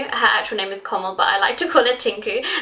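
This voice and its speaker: A woman speaks in a London accent. Noticeable background noise can be heard. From London, England. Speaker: YouTuber. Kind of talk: casual vlog talk to camera. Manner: animated.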